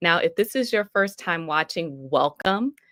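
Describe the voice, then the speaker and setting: A woman speaks at a moderate pace in an unremarkable speaking voice, her pitch medium. Her intonation is lively. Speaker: minister and ministry coach. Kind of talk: live-streamed sermon-style coaching talk. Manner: warm, upbeat, conversational, encouraging.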